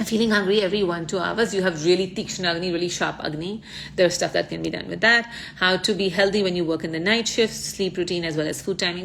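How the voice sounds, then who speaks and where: Delivered at a very fast pace, this voice keeps a fairly even intonation over noticeable background noise. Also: woman. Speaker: ayurveda influencer. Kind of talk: live Q&A.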